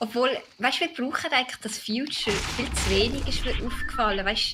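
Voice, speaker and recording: An animated tone in a Swiss accent at a moderate pace, with noticeable background noise. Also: woman. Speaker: gaming video creator. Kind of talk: casual chat.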